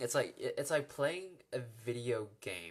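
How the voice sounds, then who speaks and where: In a somewhat breathy, medium-pitched voice, a man talks with an American accent. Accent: sounds American to some. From New Zealand. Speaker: comedian. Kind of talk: live stream Q&A. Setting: live stream. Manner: casual, many fillers and repeats.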